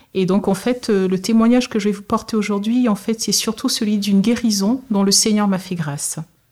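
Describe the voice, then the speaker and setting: A somewhat breathy woman's voice at medium pitch, moderate pace, fairly even intonation, and hardly any pauses. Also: very clean recording, silent background. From Togo. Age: 30s. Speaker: nurse. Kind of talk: testimony. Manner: hesitant, with frequent fillers.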